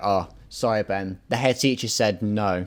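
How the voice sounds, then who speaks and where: With an English accent, a man speaks using ordinary pitch variation. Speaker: podcast host. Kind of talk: casual chat.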